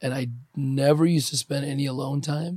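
The man's voice sits fairly high and is somewhat breathy. He speaks at a fairly slow pace in a monotone, flat intonation. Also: dry, close sound with no echo. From Ukraine. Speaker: podcast host. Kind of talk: casual chat.

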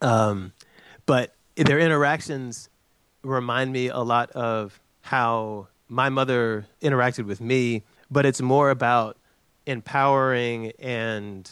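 This man speaks very slowly with an American accent, at a medium pitch and with fairly even intonation. The recording is very clean, with a silent background. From US South, North Carolina (Chapel Hill). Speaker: economic development director. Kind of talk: interview.

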